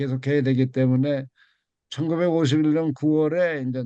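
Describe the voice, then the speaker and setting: Against a quiet background, a man speaks in a dark, mellow tone with monotone, flat intonation. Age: 80s+. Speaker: university president emeritus, lecturer. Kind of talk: lecture. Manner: halting.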